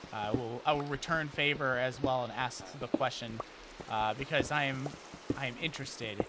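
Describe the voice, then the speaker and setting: Noticeable background noise accompanies a man whose fairly high voice shows ordinary pitch variation. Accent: American. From United States. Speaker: gaming streamer. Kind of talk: casual live-stream chat. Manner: loud; animated.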